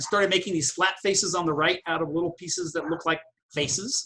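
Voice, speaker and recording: Speaking at a fairly quick pace, the man has a high voice. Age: 60s. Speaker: sculptor and art professor. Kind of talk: presentation. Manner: fast.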